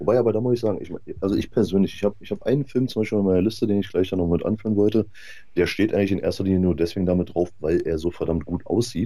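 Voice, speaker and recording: A man speaks at a very fast pace with a dark, mellow tone. His pitch is fairly low, with ordinary variation. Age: 30s. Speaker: film enthusiast and podcast guest. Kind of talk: casual chat. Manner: animated.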